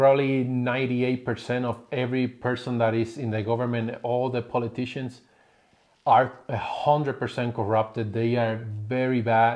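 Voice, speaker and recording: Speaking with a Spanish accent, a man takes a fairly slow pace. The background is quiet. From Puerto Rico. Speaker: family vlogger. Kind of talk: casual chat. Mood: critical, opinionated. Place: home room.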